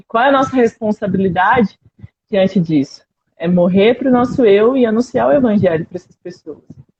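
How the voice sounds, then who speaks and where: This woman's voice is fairly high in pitch and somewhat breathy, with lively intonation. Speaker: missionary speaker. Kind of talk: missionary talk in a live stream. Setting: live stream video call.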